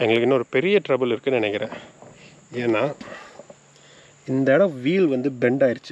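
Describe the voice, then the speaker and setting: Over noticeable background noise, a man speaks at a moderate pace and medium pitch with ordinary pitch variation and long, frequent pauses. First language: Tamil. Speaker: motorcycle vlogger. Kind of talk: casual vlog narration mixing Tamil and English. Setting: outdoors on a forest trail.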